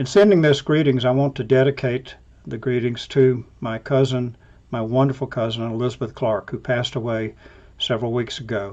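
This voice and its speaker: A man talks with an Alabama accent at a fairly quick pace. His pitch is medium and his intonation fairly even. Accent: US Southern, Alabama. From Alabama, US South. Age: 70s. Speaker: scientist, professor. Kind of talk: recorded toast.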